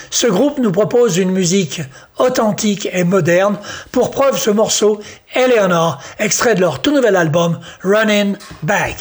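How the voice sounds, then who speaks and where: Noticeable background noise behind a man with a high pitch, ordinary pitch variation, very even loudness and a moderate pace. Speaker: radio host. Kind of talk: radio DJ patter introducing country songs in French, brisk and upbeat. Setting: studio. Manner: brisk, upbeat, informative, friendly.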